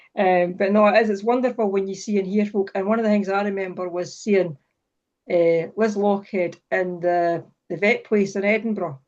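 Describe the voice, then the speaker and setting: Someone with a Scottish accent talks at a moderate pace with fairly even intonation against a quiet background. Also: woman, medium pitch for a woman. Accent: Falkirk Scottish. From Scotland, Falkirk. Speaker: writer and event host. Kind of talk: casual interview chat. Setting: video call.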